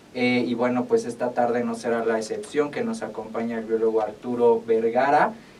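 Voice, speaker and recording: Against noticeable background noise, a man talks at a moderate pace and medium pitch with monotone, flat intonation. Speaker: radio host and veterinarian. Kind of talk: casual radio chat. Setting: radio studio.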